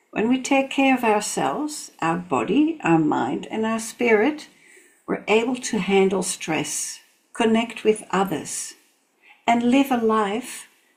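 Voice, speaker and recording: A woman's fairly high, somewhat breathy voice at a very slow pace, with very wide pitch swings. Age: 70s. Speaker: reflexology therapist. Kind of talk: motivational talk to camera.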